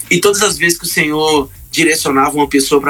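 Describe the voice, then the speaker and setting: A man's fairly high voice, an ordinary speaking voice, at a fairly quick pace with fairly even intonation. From Brazil, Pará (Marabá). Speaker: gospel singer. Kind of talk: testimony.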